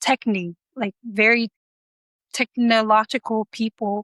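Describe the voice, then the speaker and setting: A woman speaks in a Samoan accent with fairly even intonation. Her tone is bright and sharp. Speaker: pilot. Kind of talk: interview. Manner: hesitant, many fillers.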